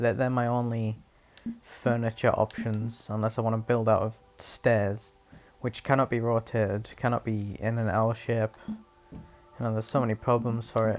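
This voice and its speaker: Music plays in the background while the voice, quiet, moves at a moderate pace. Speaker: gaming YouTuber. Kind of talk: casual gameplay commentary. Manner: halting. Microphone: sounds quiet in recording.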